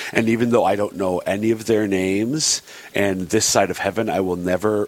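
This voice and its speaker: A man with a fairly low voice speaks over noticeable background noise. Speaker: radio show co-host. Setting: radio studio. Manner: fast talker.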